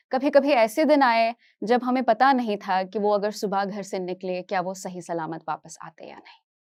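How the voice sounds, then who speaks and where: A woman with a Kashmiri accent speaks at a moderate pace and medium pitch, with lively intonation, big swings in loudness and hardly any pauses. The recording is very clean, with a silent background and a dry, close sound with no echo. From Kashmir, India; later Hyderabad. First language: Kashmiri (speaking Hindi). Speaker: educator, motivational speaker. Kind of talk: inspirational talk on stage.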